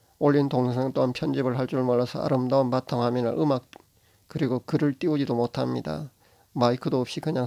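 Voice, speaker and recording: A man's dark, mellow tone comes through at a fairly quick pace. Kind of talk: religious monologue to camera. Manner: halting, stumbling speech.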